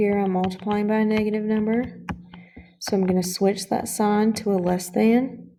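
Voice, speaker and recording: Her loudness very even, a woman talks at a medium pitch in a flat monotone. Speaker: math teacher. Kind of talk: tutorial. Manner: fast.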